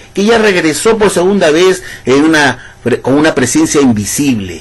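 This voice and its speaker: A man's animated voice with very wide pitch swings at a moderate pace, over noticeable background noise. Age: 60s. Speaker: ex-Jehovah's Witness video commentator. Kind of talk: monologue rebuttal video.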